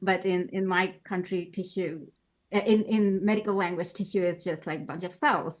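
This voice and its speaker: A woman with a Bengali accent talks at a medium pitch with fairly even intonation. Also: moderate pace. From Bangladesh. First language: Bangla. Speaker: postdoctoral researcher. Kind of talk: interview. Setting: podcast.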